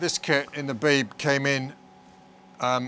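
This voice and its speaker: The tone is bright and sharp with monotone, flat intonation, a dry sound with no echo and light background noise. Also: man. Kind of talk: interview answer, explaining equipment. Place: studio.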